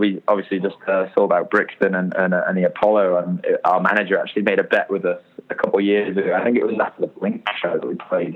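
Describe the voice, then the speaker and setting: A man talking very fast amid noticeable background noise. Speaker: rock band singer. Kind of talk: casual interview.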